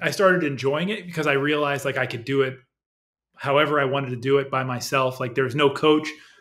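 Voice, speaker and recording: A man talks very fast, his intonation fairly even, with a quiet background behind him. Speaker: remote podcast guest. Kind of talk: interview answer. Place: home room.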